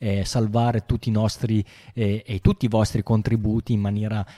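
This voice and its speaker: The sound is dry and close with no echo, on a very clean recording with a silent background. The tone is dark and mellow, and the pace is moderate. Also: man. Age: 40s. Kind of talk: casual chat. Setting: live stream.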